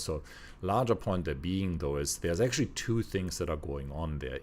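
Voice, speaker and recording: A man with a non-native accent speaks at a fairly quick pace, his voice showing vocal fry. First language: not English. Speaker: podcast co-host. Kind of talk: casual discussion. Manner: halting, with frequent false starts.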